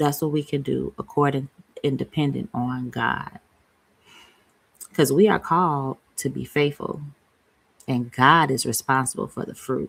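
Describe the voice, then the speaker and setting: A woman talks at a fairly slow pace with vocal fry. Her pitch is very deep and low, with ordinary variation. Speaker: faith-based motherhood vlogger. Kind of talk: casual encouraging talk to viewers. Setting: home office, shared with husband. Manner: loud.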